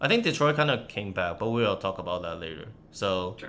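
This man has a Chinese accent and a fairly low pitch. His tone is bright and sharp, and he moves at a fairly quick pace. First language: Mandarin Chinese. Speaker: podcast host and former university student. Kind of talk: casual chat.

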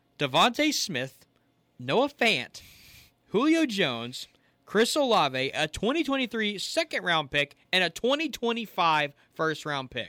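A raised, projected voice at a fairly slow pace, full of very wide pitch swings. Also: man, high pitch for a man, very clean recording, silent background. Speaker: departing podcast co-host, college-bound student. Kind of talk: casual chat. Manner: animated.

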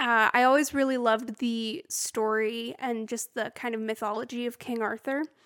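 In a very clean recording with a silent background and a dry, close sound with no echo, a normal speaking voice moves at a moderate pace with fairly even intonation and hardly any pauses. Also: woman, fairly high pitch for a woman. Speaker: podcast host. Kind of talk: casual chat.

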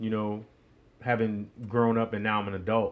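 A man speaks with an American accent. His pace is moderate. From New York. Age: 40s. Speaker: podcast host. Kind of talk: solo storytelling monologue. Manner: casual, hesitant with many fillers.

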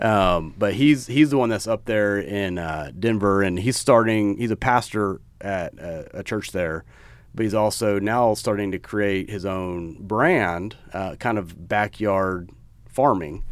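A man with an American accent has an ordinary speaking voice, fairly low in pitch with ordinary pitch variation. He talks at a fairly slow pace on a very clean recording with a silent background. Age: 40s. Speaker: podcast co-host, apparel business co-founder. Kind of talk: casual chat.

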